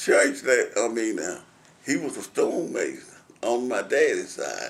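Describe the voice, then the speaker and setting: With a Southern US accent, a man speaks at a very slow pace. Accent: Southern American. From Tennessee. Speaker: war veteran. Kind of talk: oral history interview answer.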